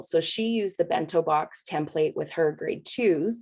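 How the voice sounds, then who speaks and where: A woman's unremarkable speaking voice, fairly low in pitch, with ordinary pitch variation. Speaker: primary school teacher. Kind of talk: panel presentation. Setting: video call.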